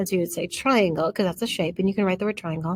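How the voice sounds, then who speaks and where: Her voice is somewhat breathy and sits at a medium pitch. The woman's pitch rises and falls in an ordinary way. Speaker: math teacher. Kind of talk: lecture. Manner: hesitant, with fillers.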